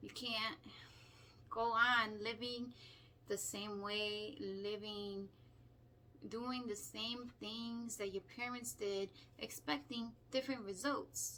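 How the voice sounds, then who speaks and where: With a bright, sharp tone and a fairly high pitch, a woman speaks at a very slow pace, leaving long, frequent pauses. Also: fairly even intonation. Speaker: spiritual self-help vlogger. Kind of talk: motivational talk. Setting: self-recorded video. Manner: halting.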